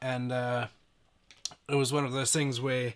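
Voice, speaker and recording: A man talks at a fairly quick pace. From Zimbabwe. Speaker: van conversion and off-grid power business owner. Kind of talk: live stream casual chat.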